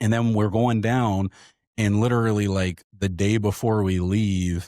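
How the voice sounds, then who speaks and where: A man with a fairly low voice and an American accent, on a very clean recording with a silent background. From North Carolina, near Charlotte. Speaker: astronomy podcast host. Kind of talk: casual interview chat. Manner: animated.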